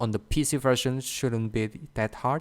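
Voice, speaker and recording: A man's medium-pitched voice moves at a moderate tempo, its intonation fairly even. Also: dry, close sound with no echo. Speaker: gamer. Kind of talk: game review narration. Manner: stiff, awkward.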